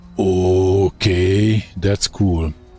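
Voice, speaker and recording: With music in the background, a man with a Hungarian accent speaks at a fairly low pitch. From Hungary. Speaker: gaming streamer. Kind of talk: live gameplay commentary. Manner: casual, thinking aloud.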